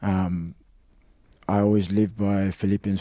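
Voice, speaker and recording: Speaking in an Australian accent, a man has a very deep, low pitch, a dark, mellow tone and monotone, flat intonation. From Australia (Sydney area). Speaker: rugby league player. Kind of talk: casual chat.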